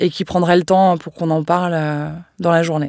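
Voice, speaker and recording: Her fairly low voice moving at a fairly quick pace, a woman speaks in a monotone, flat way in a very clean recording with a silent background. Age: 30s. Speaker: communications manager sharing a personal story. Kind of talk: testimony.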